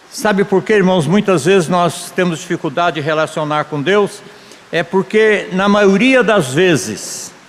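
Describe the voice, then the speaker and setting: At a fairly slow pace, a man with a high pitch uses ordinary pitch variation over noticeable background noise. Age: 70s. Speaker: pastor. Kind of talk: sermon. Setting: church conference.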